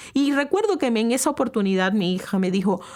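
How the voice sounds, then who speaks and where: A woman's pitch swings very widely. She talks at a fairly quick pace. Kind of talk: talk to camera. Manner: loud; animated.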